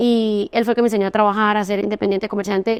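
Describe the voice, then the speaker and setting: A woman with a Santander Colombian accent talks very fast in a monotone, flat voice at a fairly high pitch. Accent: Santander Colombian, clipped. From Colombia, Santander. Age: 30s. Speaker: entrepreneur. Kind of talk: interview testimony.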